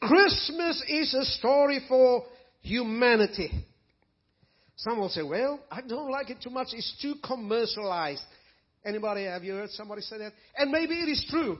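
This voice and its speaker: At a moderate pace, a man speaks in an extremely high pitch with lively intonation and big swings in loudness. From South Africa. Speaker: preacher. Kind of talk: sermon. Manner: animated.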